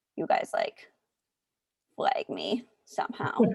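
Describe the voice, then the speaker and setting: Dry and close with no echo, the recording captures a woman speaking. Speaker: mathematical epidemiology researcher, colloquium speaker. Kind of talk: casual chat. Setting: video call.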